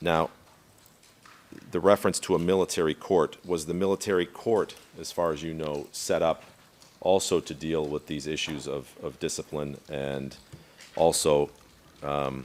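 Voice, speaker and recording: The voice carries vocal fry and fairly even intonation at a moderate pace. Long pauses come often. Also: man, very deep, low pitch for a man. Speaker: trial lawyer questioning witness. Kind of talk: courtroom examination. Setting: courtroom.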